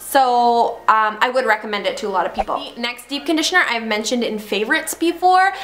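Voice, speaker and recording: Over noticeable background noise, a woman talks at a very fast pace. Her pitch is high and her intonation lively. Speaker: mommy vlogger. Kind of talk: casual product review vlog.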